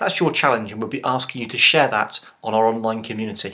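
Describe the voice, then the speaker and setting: With a bright, sharp tone, a man speaks very fast against a quiet background. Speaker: online course presenter. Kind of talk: tutorial. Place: home room. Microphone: webcam.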